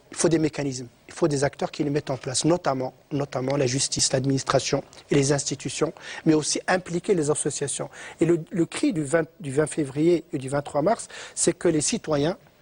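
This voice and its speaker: The voice is somewhat breathy with fairly even intonation, heard in a dry, close sound with no echo. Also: man, fairly high pitch for a man, moderate pace. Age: 60s. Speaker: economist and professor. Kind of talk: TV interview.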